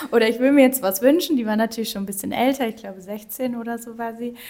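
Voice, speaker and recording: A woman's fairly high-pitched voice with ordinary pitch variation and noticeable background noise. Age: 30s. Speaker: nonprofit wish coordinator. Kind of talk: casual interview. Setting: office of the organisation.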